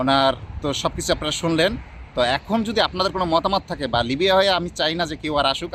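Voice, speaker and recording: A man's fairly high pitch with ordinary pitch variation, an ordinary speaking voice. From Bangladesh. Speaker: vlogger. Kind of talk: vlog interview.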